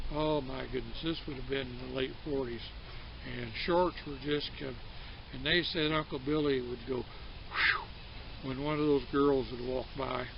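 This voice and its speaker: This man's fairly slow speech carries audible room echo. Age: old. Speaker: storyteller. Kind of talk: casual storytelling. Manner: halting, many fillers.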